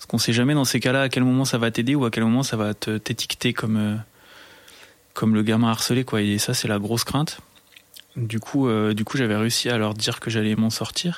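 A man speaks at a fairly quick pace, his medium-pitched voice held to a fairly even intonation. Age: 30s. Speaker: technical supervisor. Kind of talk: casual interview. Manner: halting, many fillers and repetitions.

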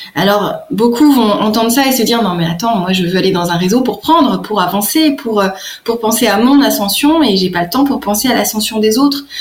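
Noticeable background noise surrounds a woman speaking at a moderate pace, her fairly high pitch moving with lively intonation. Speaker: business networking coach. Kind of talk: radio interview. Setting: radio studio. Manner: hesitant, many fillers.

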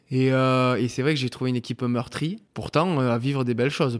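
Here a man speaks in a plain, everyday voice with fairly even intonation. His pace is fairly quick, and the recording is very clean with a silent background. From southwest France, Landes. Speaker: professional rugby player. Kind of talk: casual interview chat.

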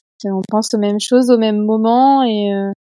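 A woman's fairly high-pitched voice carries a dark, mellow tone and fairly even intonation. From eastern France. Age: 20s. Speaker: patient with endometriosis. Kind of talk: casual interview.

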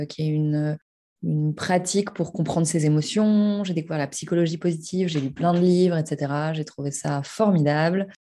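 Her voice at a fairly low pitch, a woman speaks at a moderate pace in a dark, mellow tone. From Paris, France. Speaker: meditation trainer. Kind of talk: interview. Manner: hesitant, many fillers.

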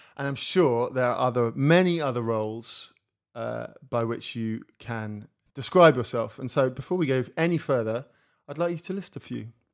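Recorded very cleanly over a silent background, a man speaks at a medium pitch and moderate pace with ordinary pitch variation. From England. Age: 40s. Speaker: musician and podcast host. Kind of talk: casual interview conversation. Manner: halting.

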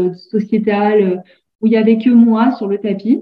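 A woman with a fairly high, somewhat breathy voice speaks at a very slow pace in a monotone, flat delivery. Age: 30s. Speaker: yoga teacher. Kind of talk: interview.

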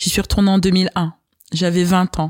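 A woman speaks in a normal speaking voice at a moderate pace, her pitch fairly low. The sound is dry and close with no echo, on a very clean recording with a silent background. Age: 30s. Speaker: podcast guest. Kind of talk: interview, personal storytelling.

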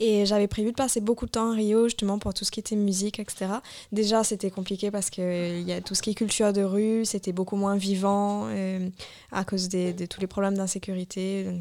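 Her tone is dark and mellow, her pitch medium for a woman. She speaks at a moderate pace with monotone, flat intonation. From Mauritius. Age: 20s. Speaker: traveller. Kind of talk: casual chat. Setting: studio.

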